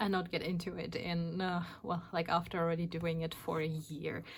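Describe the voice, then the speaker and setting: Somewhat breathy, a woman with a German accent speaks at a moderate pace in a fairly low pitch. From Germany. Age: 40s. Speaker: craft YouTuber. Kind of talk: casual vlog talk. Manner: hesitant, many fillers.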